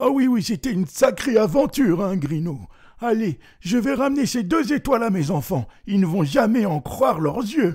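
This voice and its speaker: Very wide pitch swings run through this put-on character voice. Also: man, high pitch for a man, moderate pace. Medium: read story. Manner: warm, stammering.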